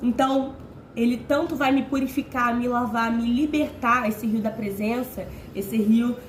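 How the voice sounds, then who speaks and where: Using fairly even intonation, a woman with a high pitch speaks at a fairly slow pace. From Rio de Janeiro, Brazil. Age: 20s. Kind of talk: informal sermon to camera. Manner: casual, conversational.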